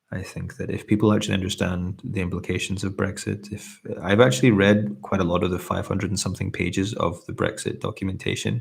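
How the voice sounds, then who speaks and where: Talking at a very fast pace with hardly any pauses, a man with a Scottish accent uses a fairly low pitch, fairly even intonation and vocal fry. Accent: mellow Scottish. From Scotland. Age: 30s. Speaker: ASMR streamer. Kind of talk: casual chat. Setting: live stream. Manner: relaxed; hesitant.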